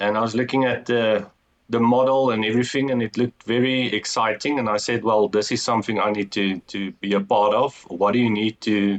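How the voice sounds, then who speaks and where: A man with an Afrikaans South African accent, talking at a fairly quick pace. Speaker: entrepreneur. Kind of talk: interview. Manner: halting.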